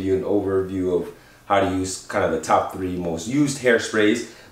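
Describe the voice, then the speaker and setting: Noticeable background noise and audible room echo surround the recording. A man talks at a moderate pace. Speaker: men's grooming youtuber. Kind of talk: tutorial. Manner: casual, upbeat.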